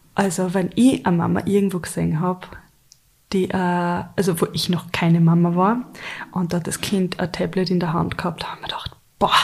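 Somewhat breathy, a woman speaks in a monotone, flat intonation. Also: long, frequent pauses. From Austria, Carinthia then Upper Austria. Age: 30s. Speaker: podcast co-host, mother and blogger. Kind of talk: casual chat.

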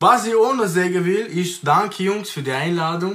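High-pitched male speech at a fairly slow pace, with ordinary pitch variation. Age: 20s. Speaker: rapper. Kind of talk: casual chat.

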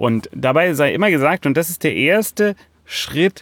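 In a close, dry sound free of echo, a man talks with lively intonation. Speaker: podcast host, project management consultant. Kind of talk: solo educational podcast monologue. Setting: outdoors in a forest.

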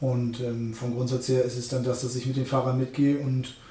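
A man's medium-pitched voice at a fairly quick pace, with audible room echo and noticeable background noise. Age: 30s. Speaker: truck salesman. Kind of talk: casual interview. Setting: at the dealership. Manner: halting, many fillers.

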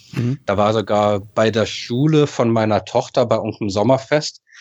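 Over a quiet background, a man uses a normal speaking voice at a medium pitch and a moderate pace, with ordinary pitch variation. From Berlin, Germany (Westend, Charlottenburg). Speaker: football fan. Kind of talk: casual chat. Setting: video call.

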